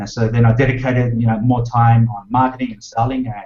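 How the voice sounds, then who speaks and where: Here a man speaks at a medium pitch with an Australian accent. His delivery is fairly quick and somewhat breathy. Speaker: Excel trainer and blogger. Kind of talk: interview.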